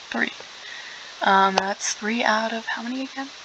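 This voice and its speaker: Woman at a moderate pace, ordinary pitch variation, with noticeable background noise. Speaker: gaming streamer. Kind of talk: gameplay commentary. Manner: casual, chatty.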